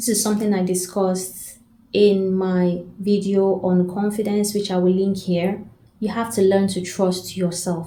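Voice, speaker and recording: A woman's somewhat breathy voice, dark and mellow, medium in pitch, with monotone, flat intonation and audible room echo. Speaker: self-development coach. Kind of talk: advice talk to camera.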